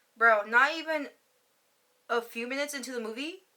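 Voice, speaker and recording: A woman's voice comes across animated, with a bright, sharp tone. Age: 30s. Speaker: YouTube vlogger. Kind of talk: casual chat. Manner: fast.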